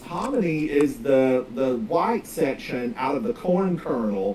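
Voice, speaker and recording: With an American accent, a man speaks at a fairly slow pace and fairly high pitch, his voice swinging very widely in pitch over noticeable background noise. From US South, North Carolina (Smoky Mountains). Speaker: video game streamer. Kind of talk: casual live-stream chat while gaming. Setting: live stream.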